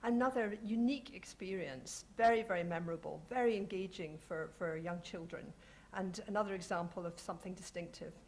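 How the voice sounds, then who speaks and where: In a Scottish accent, a woman speaks at medium pitch with ordinary pitch variation. Her voice is somewhat breathy. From Scotland. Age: 40s. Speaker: heritage organisation representative, panelist. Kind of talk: panel discussion talk.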